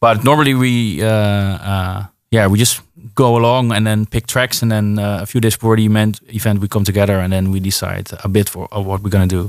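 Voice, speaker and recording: With a Dutch accent, a man speaks fairly quickly in a fairly low voice and fairly even intonation. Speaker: DJ. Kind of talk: casual chat. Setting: studio.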